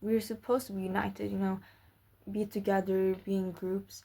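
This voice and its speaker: A woman's medium-pitched voice, dark and mellow in tone, with a non-native accent. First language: not English. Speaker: vlogger. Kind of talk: casual monologue. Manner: halting, with fillers and repetitions.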